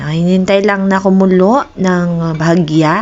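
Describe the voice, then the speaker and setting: A woman with a medium pitch talks at a very slow pace over noticeable background noise. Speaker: cooking vlogger. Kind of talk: casual cooking vlog. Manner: chatty, informal.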